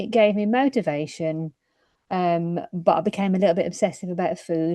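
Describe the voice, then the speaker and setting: A woman speaks with a British accent in a dark, mellow tone. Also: ordinary pitch variation, moderate pace. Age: 50s. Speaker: midwife. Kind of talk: testimony.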